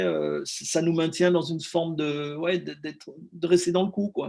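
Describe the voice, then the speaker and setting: A man talks at a moderate pace. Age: 60s. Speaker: film director. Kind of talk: interview. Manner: halting, many repetitions.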